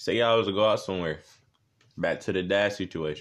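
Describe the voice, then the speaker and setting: A man's fairly low-pitched voice is heard against a quiet background. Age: young. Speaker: young man in a relationship discussing dating. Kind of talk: casual chat.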